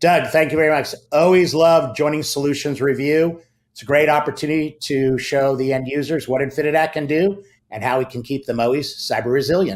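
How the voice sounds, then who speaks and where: Using an unremarkable speaking voice, a man talks fairly quickly at a fairly high pitch, his intonation fairly even. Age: 60s. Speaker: tech company marketing executive. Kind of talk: interview, sales pitch.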